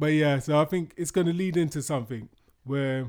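Speaking with a British accent, a man keeps a fairly high pitch, a moderate pace and fairly even intonation. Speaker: podcast co-host. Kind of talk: casual chat.

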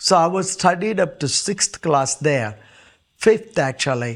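Speaking at a very slow pace, a man with an Indian accent uses a high pitch. The recording is very clean with a silent background. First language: Indian language. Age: 70s. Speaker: pastor. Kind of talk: testimony.

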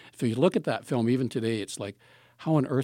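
A man with a Canadian accent talks very fast at a medium pitch, his tone dark and mellow. The sound is dry and close with no echo, on a very clean recording with a silent background. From southern Ontario, Canada. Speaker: retired film professor and program coordinator. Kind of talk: casual interview.

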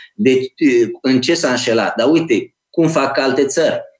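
At a moderate pace, the speaker talks with a Moldavian accent. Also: man. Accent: Moldavian (Iași) Romanian, still audible. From Romania, Iași (Moldavia). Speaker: think tank director and author. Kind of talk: interview.

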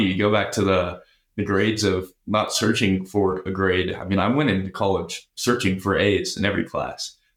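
A man with a normal speaking voice talks at a fairly low pitch and a moderate pace. He leaves hardly any pauses. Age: 20s. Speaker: finance student. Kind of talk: interview.

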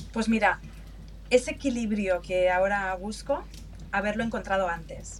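This woman talks at a moderate pace, leaving long, frequent pauses. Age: 50s. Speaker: customer experience manager. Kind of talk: interview.

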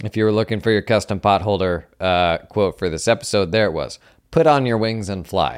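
A man talks at a fairly quick pace in a normal speaking voice. His pitch is fairly low, with ordinary pitch variation. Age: 30s. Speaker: accounting podcast host. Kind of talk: casual solo monologue.

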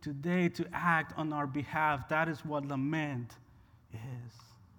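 With a Spanish accent, a man speaks with ordinary pitch variation, and room echo is audible. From Honduras. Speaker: pastor. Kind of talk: sermon. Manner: animated.

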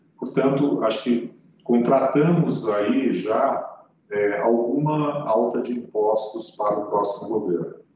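A man talks at a very slow pace, at medium pitch with ordinary pitch variation. Audible room echo can be heard. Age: 60s. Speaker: economist. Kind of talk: interview. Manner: hesitant, with frequent fillers.

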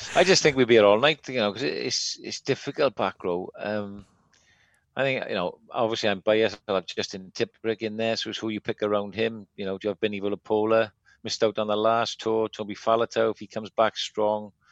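An unremarkable speaking voice at a fairly quick pace, fairly even in intonation, with a dry, close sound with no echo and a quiet background. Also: man, fairly low pitch for a man. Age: 40s. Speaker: podcast co-host. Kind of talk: casual chat.

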